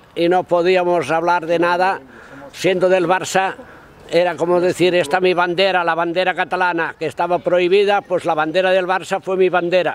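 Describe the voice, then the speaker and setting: Speaking at a high pitch, a man keeps to a monotone, flat intonation. His pace is moderate and his loudness very even. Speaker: interviewee. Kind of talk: interview answer. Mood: proud, nostalgic. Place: street. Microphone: phone near.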